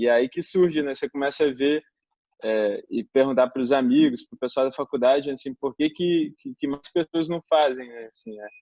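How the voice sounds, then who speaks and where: At a moderate pace, a man talks at a fairly high pitch with ordinary pitch variation and big swings in loudness. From Brazil, Belo Horizonte, Minas Gerais. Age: 20s. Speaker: environmental engineer, composting project founder. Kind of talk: interview. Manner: hesitant, many fillers.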